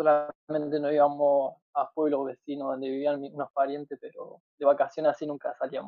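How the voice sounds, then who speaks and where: A man with a fairly high pitch speaks at a moderate pace. His intonation is monotone and flat. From Argentina, La Pampa. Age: 20s. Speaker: long-distance cyclist. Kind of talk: interview. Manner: halting, with frequent repetitions.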